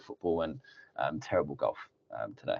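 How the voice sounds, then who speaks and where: Speaking at a fairly quick pace, a man has a British accent. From UK. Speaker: security company regional director. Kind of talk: webinar presentation. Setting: webinar.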